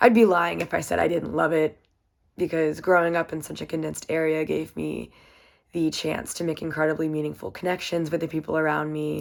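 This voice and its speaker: In a very clean recording with a silent background, a woman with an American accent speaks with a very deep, low pitch. Her tone is upbeat and her pace fairly quick. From US South, Virginia (Waynesboro). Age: 20s. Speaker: college student and swimmer. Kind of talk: self-introduction presentation. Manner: casual, upbeat.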